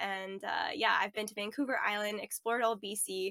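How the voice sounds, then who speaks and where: A woman with a Canadian accent speaks at a moderate pace and fairly high pitch, with a bright, sharp tone. Her intonation is fairly even, and the sound is dry and close with no echo. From Ontario, Canada. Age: 20s. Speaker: van lifer and photographer. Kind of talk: casual interview chat.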